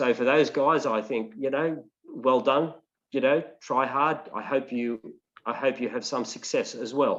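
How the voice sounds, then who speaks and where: A man with an Australian accent, medium-pitched, at a fairly slow pace and with fairly even intonation. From Maitland, New South Wales, Australia. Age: 60s. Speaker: political candidate. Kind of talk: interview. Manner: halting, with many fillers.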